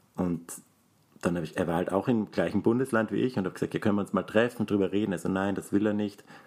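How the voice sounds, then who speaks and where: A man speaks at a very fast pace with a fairly low pitch. His intonation is fairly even. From Austria, Graz (Styria). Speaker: podcast co-host. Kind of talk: casual chat.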